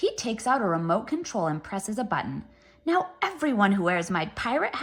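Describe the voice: What you hear is plain reading aloud.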